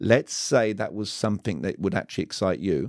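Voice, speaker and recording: A man with a British accent talks at a fairly low pitch, with vocal fry. The recording is very clean, with a silent background and a dry, close sound with no echo. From Britain. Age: 40s. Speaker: communication coach. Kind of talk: casual interview. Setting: studio.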